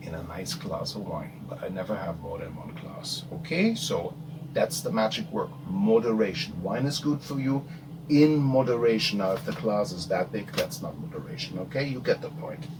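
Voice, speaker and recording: Amid audible room echo and noticeable background noise, a man with a German accent talks at a moderate pace in a fairly high pitch with very wide pitch swings. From Germany, Rhine region. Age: 50s. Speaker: abstract painter. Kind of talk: casual Q&A monologue.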